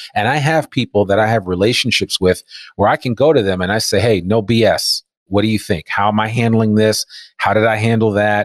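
A plain, everyday voice moves at a fairly quick pace with ordinary pitch variation. Loudness stays very even in a dry, close sound with no echo. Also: man, fairly low pitch for a man. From New Jersey (Teaneck). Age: 50s. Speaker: entrepreneur and podcaster. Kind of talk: interview conversation. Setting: remote recording.

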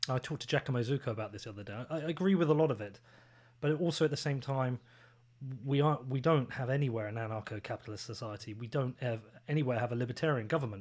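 Recorded very cleanly against a silent background, a man talks at a very fast pace with a medium pitch and ordinary pitch variation. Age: 40s. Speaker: podcast host. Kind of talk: casual chat.

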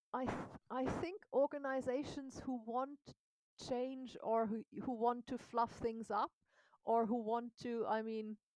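A woman speaks at a fairly high pitch with fairly even intonation. Her tone is dark and mellow, and the sound is dry and close with no echo. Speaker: coach and consultant. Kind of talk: interview conversation.

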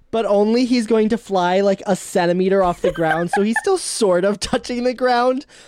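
A woman with a normal speaking voice, medium pitch, ordinary pitch variation, very even loudness, a moderate pace and hardly any pauses. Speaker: player in a tabletop role-playing game. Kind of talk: casual, joking role-play banter.

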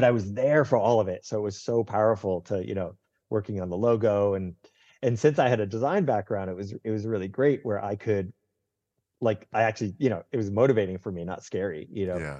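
Someone with an American accent speaks at a fairly quick pace in a dark, mellow tone. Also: man, fairly low pitch for a man, ordinary pitch variation, quiet background. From US Northeast. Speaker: hospitality consultant. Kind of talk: casual interview.

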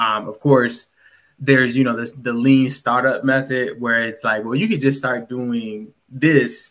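With a normal speaking voice, a man talks at a fairly slow pace in a medium pitch and fairly even intonation. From Virginia, US. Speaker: startup founder. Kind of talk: interview.

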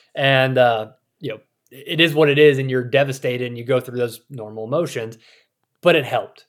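A man with an American accent and an ordinary speaking voice, at a fairly quick pace with fairly even intonation. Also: medium pitch for a man. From US South, rural South Carolina. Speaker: author and former AI expert turned hunter. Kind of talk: interview. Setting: remote recording.

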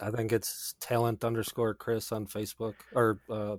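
Using an ordinary speaking voice, a man speaks at a fairly low pitch and a moderate pace. The recording is very clean with a silent background and a dry, close sound with no echo. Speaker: podcast guest and music composer. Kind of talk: casual chat.

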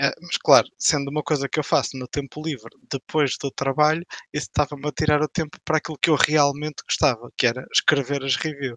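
A man's fairly high-pitched, bright, sharp voice, monotone and flat in intonation, at a fairly quick pace, in a dry, close sound with no echo. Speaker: games blogger and critic. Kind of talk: casual panel discussion.

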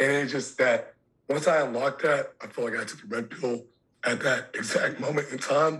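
A man speaks in an ordinary speaking voice. His pace is moderate, with ordinary pitch variation. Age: 20s. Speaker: podcast guest, writer. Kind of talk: casual chat.

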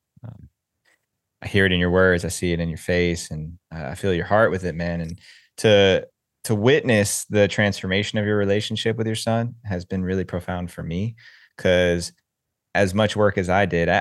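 Against a quiet background, a man with an ordinary speaking voice talks at a moderate pace in a fairly low pitch with fairly even intonation. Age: 30s. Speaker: podcast host. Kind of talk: interview conversation. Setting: video call.

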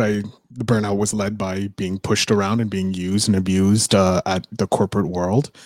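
In a plain, everyday voice, a man with a fairly low pitch talks at a fairly quick pace, with a dry, close sound and no echo. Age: 30s. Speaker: podcast host. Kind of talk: casual chat. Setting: live-streamed video call.

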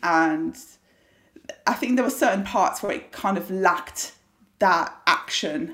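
With a British accent, a woman talks at a fairly slow pace in a medium pitch, using lively intonation and long, frequent pauses. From UK. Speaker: competitive eater. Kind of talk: casual chat.

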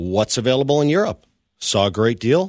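A man with an unremarkable speaking voice talks at a fairly quick pace in a medium pitch, his intonation lively, on a very clean recording with a silent background. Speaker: coworker guest. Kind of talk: casual interview storytelling.

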